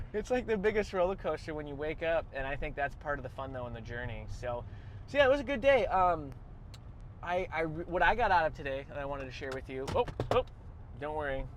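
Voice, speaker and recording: Over noticeable background noise, a man with an American accent talks at a very fast pace, his fairly high pitch carried by lively intonation. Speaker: business owner and podcast host. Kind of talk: casual chat. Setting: on the road after a kennel visit.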